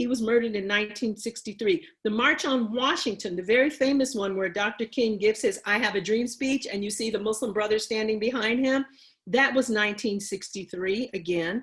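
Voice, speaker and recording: A woman talks at a fairly quick pace with hardly any pauses. Her fairly high voice is somewhat breathy. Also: ordinary pitch variation. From Chicago (Bronzeville). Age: 60s. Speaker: panelist on racism. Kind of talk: panel talk, history presentation. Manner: repetitive, emphatic.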